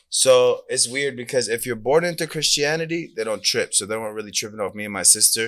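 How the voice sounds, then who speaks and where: Very fast and with hardly any pauses, a man rattles through his words. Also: medium pitch for a man, ordinary pitch variation. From Iran, then US from age ten. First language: Persian. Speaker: R&B singer. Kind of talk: casual interview. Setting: studio. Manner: casual, hesitant with fillers.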